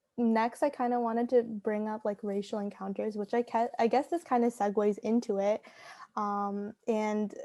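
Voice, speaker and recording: On a very clean recording with a silent background and a dry, close sound with no echo, a woman with a Canadian accent talks at a moderate pace in a plain, everyday voice, fairly high in pitch. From Canada. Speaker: podcast host. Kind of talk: casual chat.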